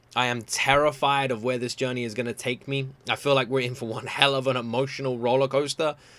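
This man talks at a fairly quick pace. His tone is bright and sharp. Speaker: reaction video creator. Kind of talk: casual reaction commentary. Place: home room.

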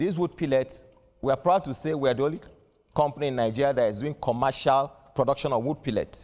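A man talks fairly quickly with ordinary pitch variation, and the background is quiet. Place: studio. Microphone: lapel.

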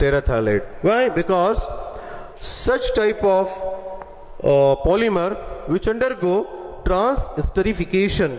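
A man with a high pitch talks at a fairly slow pace. He leaves long, frequent pauses. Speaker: chemistry teacher. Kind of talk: lecture. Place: classroom. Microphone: headset.

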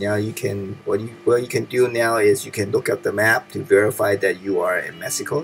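A man talking with hardly any pauses, music in the background. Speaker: gaming video creator. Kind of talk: tutorial. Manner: instructional, calm.

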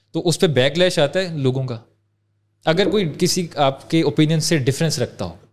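This man has a normal speaking voice, fairly high in pitch, with ordinary pitch variation and a moderate pace. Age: 20s. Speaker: podcast host. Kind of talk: interview.

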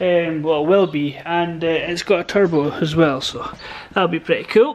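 This man's voice has ordinary pitch variation. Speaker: hobby mechanic vlogger. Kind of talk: casual vlog chat. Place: garage. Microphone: phone near.

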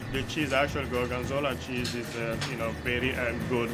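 Loud background music accompanies a man talking at a moderate pace. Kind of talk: interview answer. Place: kitchen.

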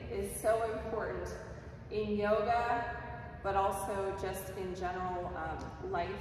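Amid noticeable background noise and strong room echo, a woman talks with fairly even intonation. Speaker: yoga instructor. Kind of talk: class instruction. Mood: calm, gentle. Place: empty room. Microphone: camera far.

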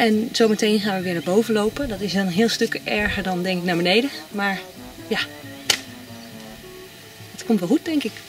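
A woman talks at a moderate pace with ordinary pitch variation and long, frequent pauses. The sound is dry with no echo, and clear music plays in the background. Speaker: holiday vlogger. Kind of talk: casual vlog chat. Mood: cheerful. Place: open country. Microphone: camera far.

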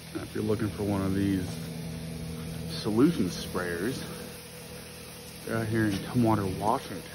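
A man at fairly low pitch and moderate pace, intonation fairly even, with audible room echo

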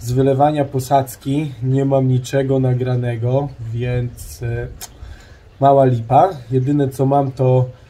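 A man speaks very slowly in a somewhat breathy, dark and mellow voice with monotone, flat intonation. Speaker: home DIY vlogger. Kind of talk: casual vlog chat. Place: garden. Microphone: phone near.

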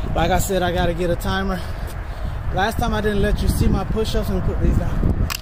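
A man speaks at a fairly quick pace. Loud background noise runs underneath. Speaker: fitness vlogger. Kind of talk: casual workout vlog chat. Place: street.

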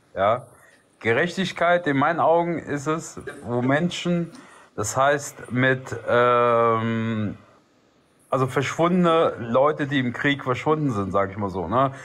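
With lively intonation, a man delivers his words at a very slow pace. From Albanian background. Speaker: livestream participant; live stream host. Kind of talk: casual debate. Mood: calm, earnest. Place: home room. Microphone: phone near.

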